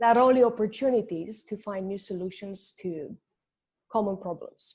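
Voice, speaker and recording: A woman with a non-native accent, medium pitch and ordinary pitch variation, somewhat breathy in a dark, mellow tone at a fairly quick pace, on a very clean recording with a silent background. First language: not English. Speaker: finance entrepreneur. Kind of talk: podcast interview.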